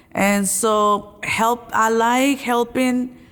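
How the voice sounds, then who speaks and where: A woman with a Spanish accent and fairly even intonation. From Mexico. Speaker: college graduate and lay religious associate. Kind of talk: interview. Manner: halting.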